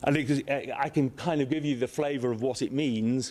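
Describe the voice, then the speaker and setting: An English accent at a moderate pace. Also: man. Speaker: space agency director. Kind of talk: conference speech. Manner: halting.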